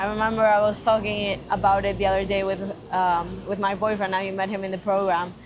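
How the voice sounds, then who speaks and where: A woman talks at a very fast pace in a medium pitch with monotone, flat intonation and audible room echo. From Spain. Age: 20s. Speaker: marketing intern. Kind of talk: casual chat.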